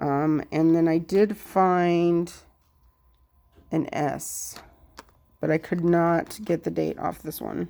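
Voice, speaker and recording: The recording is very clean, with a silent background. A woman speaks at a very slow pace. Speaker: coin collector. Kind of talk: casual talk to camera. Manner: stuttering.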